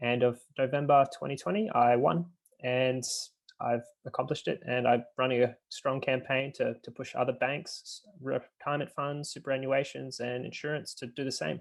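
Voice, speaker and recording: With an Australian accent, a man of medium pitch talks at a moderate pace with fairly even intonation. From Australia, Brisbane. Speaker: climate activist. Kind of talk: online panel discussion.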